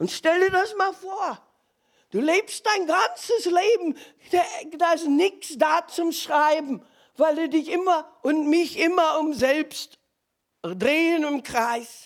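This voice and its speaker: A woman's extremely high voice at a very slow pace, with ordinary pitch variation. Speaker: preacher. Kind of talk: sermon.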